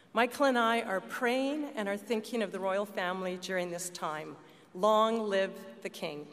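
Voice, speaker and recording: A normal speaking voice from a woman at a medium pitch, moderate pace and ordinary pitch variation, with light background noise. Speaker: politician. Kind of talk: formal speech. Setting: stage with audience. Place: hall. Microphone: podium.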